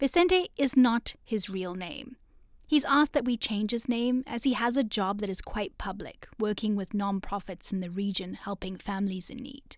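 With lively intonation and an ordinary speaking voice, a woman speaks at a fairly high pitch and a moderate pace. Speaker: podcast host and reporter. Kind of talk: scripted narration.

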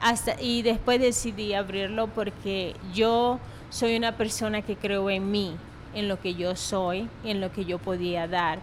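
A woman speaks with a Venezuelan accent at medium pitch. Her pace is very slow, with fairly even intonation. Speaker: restaurant owner. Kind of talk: interview.

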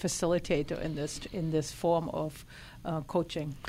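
A woman speaks with a slight German accent. Her pace is moderate. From Germany. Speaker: equine therapy life coach. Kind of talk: radio interview.

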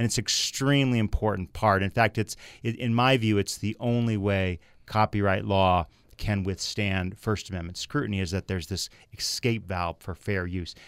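A man's normal speaking voice, fairly low in pitch, at a moderate pace with ordinary pitch variation, in a dry, close sound with no echo on a very clean recording with a silent background. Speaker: attorney and writer. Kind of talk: radio panel discussion.

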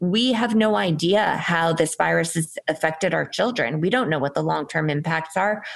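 This woman speaks with a fairly low pitch, vocal fry, lively intonation and very even loudness. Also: moderate pace, hardly any pauses. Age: 40s. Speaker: founder of a COVID survivor support group. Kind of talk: interview.

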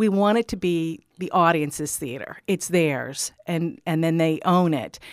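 In a very clean recording with a silent background, a woman with fairly low pitch talks at a moderate pace in an ordinary speaking voice. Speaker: theater co-founder and actor. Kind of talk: radio interview.

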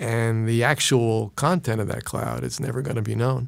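Fairly even intonation in a New York accent, on a very clean recording with a silent background. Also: man. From New York City (Brooklyn, Queens). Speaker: physician. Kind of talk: interview. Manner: halting.

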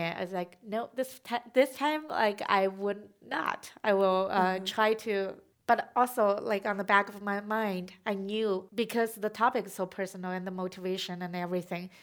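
Hardly pausing, a woman with a Chinese accent speaks at a moderate pace and medium pitch with fairly even intonation. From China. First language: Mandarin Chinese. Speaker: documentary filmmaker. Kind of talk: onstage conversation. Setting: festival stage.

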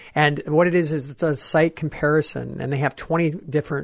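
The voice is somewhat breathy. A man talks at a moderate pace. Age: 40s. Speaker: travel expert and tour leader. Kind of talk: radio interview.

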